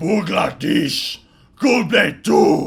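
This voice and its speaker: A man puts on a character voice. It is raspy and fairly high-pitched. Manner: intense, gusto.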